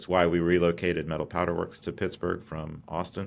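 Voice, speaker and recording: A man with an American accent and a very deep, low pitch at a fairly quick pace, in a very clean recording with a silent background. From US South, Atlanta. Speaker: company founder and CEO. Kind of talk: podcast interview.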